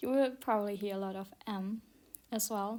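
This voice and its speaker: Speaking at a medium pitch, the woman has a non-native accent. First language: not English. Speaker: self-taught digital artist. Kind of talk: art tutorial commentary. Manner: halting, stuttering with many fillers.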